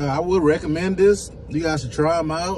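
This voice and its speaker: A man's voice over light background noise. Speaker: food reviewer. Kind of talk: casual vlog chat. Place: car. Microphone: phone near.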